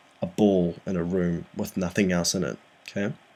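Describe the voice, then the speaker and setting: The voice is soft-spoken with fairly even intonation. It moves at a moderate pace. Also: man. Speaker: physics tutor. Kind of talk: tutorial. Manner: soft-spoken, talking quietly; hesitant, frequent ums.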